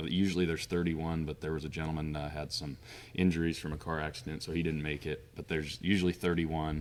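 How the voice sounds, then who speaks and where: A man with an American accent speaks very fast in a very deep, low voice, his intonation monotone and flat. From Montana, USA. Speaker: auctioneer. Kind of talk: podcast interview answer.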